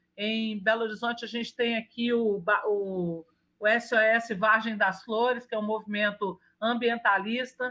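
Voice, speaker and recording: A woman with a Minas Gerais accent speaks at a fairly slow pace in a fairly high pitch, her tone bright and sharp and her intonation flat and monotone. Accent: mineiro (Minas Gerais). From Brazil, Minas Gerais. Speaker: urban planner and architect. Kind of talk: interview. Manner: halting with frequent restarts.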